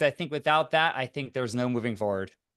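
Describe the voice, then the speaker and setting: Against a quiet background, a man at medium pitch speaks with lively intonation. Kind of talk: panel discussion. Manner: loud.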